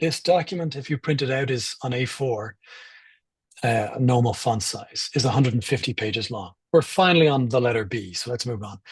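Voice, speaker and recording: A man's somewhat breathy, medium-pitched voice with lively intonation, at a moderate pace over a quiet background. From Ireland. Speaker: privacy campaigner and speaker. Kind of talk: talk with slides. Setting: live online event.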